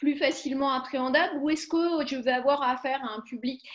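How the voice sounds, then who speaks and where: A woman with a high-pitched voice. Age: 40s. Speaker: computational linguist. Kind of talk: panel discussion.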